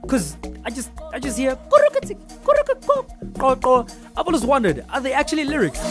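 A man's extremely high voice at a moderate pace, with ordinary pitch variation, long and frequent pauses, and clear music in the background. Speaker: radio presenter. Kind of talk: radio show presenter demo. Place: studio. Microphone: studio mic.

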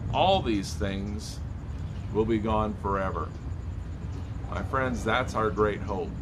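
Noticeable background noise surrounds a man speaking at a fairly slow pace. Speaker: church pastor. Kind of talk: devotional sermon. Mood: calm, warm, hopeful. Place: street. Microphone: phone near.

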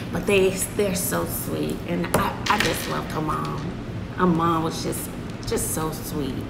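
At a fairly slow pace, the speaker talks over loud background noise. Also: woman. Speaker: vlogger. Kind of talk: casual vlog chat. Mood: warm, fond storytelling. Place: home room. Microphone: phone near.

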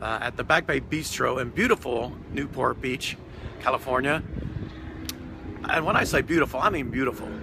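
Ordinary pitch variation and a fairly quick pace come through in a dry sound with no echo and noticeable background noise. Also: man. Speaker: travel vlogger. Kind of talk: casual vlog chat. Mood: relaxed, content after meal. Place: waterside. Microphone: phone near.

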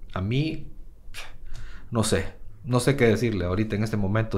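This man's delivery is fairly slow. The rise and fall of his pitch is ordinary. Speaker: podcast host, entrepreneur. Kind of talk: casual interview chat.

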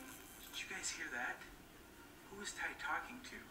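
The words come out as a whisper, delivered at a moderate pace. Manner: drowsy late-night murmur, lying down. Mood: curious, relaxed. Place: home room.

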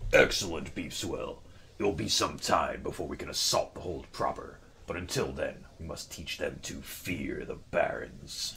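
Against clear background noise, a man puts on a character voice and talks at a moderate pace. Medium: game stream. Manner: gleeful, aggressive.

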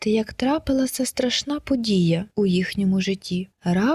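Plain reading aloud fills the recording.

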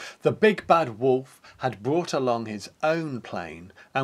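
An unforced reading voice rises and falls with ordinary pitch variation.

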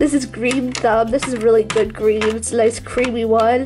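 Music plays behind a woman as she talks. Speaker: beauty YouTuber. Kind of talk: casual voiceover product review.

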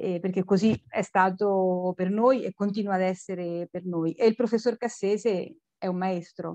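A woman's dark, mellow tone with fairly even intonation, dry with no echo, against a quiet background. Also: fairly slow pace. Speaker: cultural center organizer. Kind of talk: formal welcome speech. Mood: warm, smiling. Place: home room. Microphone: video call.

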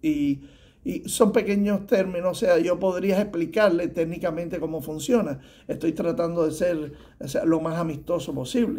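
A man with a high pitch talks at a moderate pace, his pitch varying in an ordinary way. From Cuba. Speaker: tax preparer; guest. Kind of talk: advice talk to camera. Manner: halting, many fillers. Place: office. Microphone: phone near.

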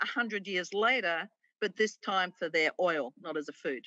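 A woman with an Australian accent speaks at a moderate pace in a bright, sharp tone with ordinary pitch variation. The sound is dry with no echo, and the background is quiet. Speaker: conservation liaison and author; guest. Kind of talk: interview. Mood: warm, enthusiastic. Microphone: video call.

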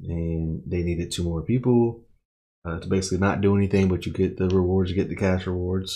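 His voice has a dark, mellow tone and a very deep, low pitch. The man's intonation stays fairly even over a quiet background. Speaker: streamer reacting to an anime. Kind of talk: casual commentary recap. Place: home room.

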